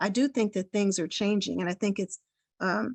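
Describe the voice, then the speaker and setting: Recorded dry and close with no echo, a woman at medium pitch talks at a fairly quick pace with fairly even intonation. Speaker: parent advocate, small nonprofit leader. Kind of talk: public comment at hearing. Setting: video call. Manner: fast.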